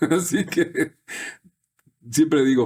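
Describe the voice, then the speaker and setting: A man's relaxed tone at a fairly slow pace, in a very clean recording with a silent background. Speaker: voice actor. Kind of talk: interview answer. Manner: relaxed, conversational.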